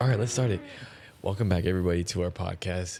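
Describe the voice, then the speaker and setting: Soft-spoken and fairly low in pitch, a man talks with a dark, mellow tone and ordinary pitch variation. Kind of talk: casual chat. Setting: home room at night.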